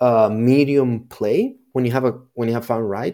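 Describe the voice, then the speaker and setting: On a very clean recording with a silent background, a man with a Spanish accent talks at a moderate pace in a medium pitch with a dark, mellow tone. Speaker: chief data officer at an ad agency, AI expert. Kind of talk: casual chat.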